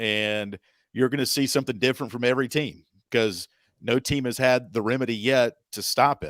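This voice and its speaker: A man talks in a plain, everyday voice at medium pitch with ordinary pitch variation. The recording is very clean with a silent background, and the sound is dry and close with no echo. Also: fairly quick pace. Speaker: radio play-by-play sports announcer, podcast guest. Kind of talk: podcast interview answer about basketball.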